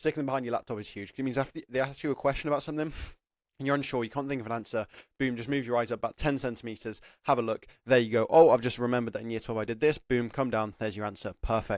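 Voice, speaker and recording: Talking at a very fast pace, a man with an English accent keeps a medium pitch and fairly even intonation. The recording is very clean, with a silent background. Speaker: apprenticeship careers YouTuber. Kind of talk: advice talk to camera. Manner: casual, filler-heavy.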